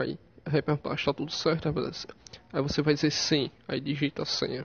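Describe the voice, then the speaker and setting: Fairly high pitch from a man, delivered at a moderate pace. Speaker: YouTuber. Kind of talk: tutorial. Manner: halting.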